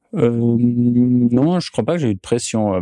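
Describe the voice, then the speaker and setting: A man at a very slow pace, dark and mellow in tone, with ordinary pitch variation against a quiet background. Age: 30s. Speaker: ski maker, craftsman. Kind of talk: interview. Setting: workshop. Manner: halting, many hesitations.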